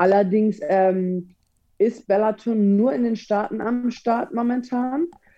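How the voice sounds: A woman with a medium pitch and a dark, mellow tone speaks with fairly even intonation.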